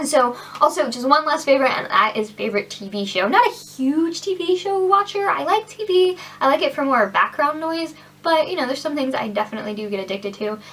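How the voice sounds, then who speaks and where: Over noticeable background noise, a woman talks at a fairly quick pace in an animated tone, her high pitch making very wide swings. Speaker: beauty vlogger. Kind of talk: casual product review vlog. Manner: fast.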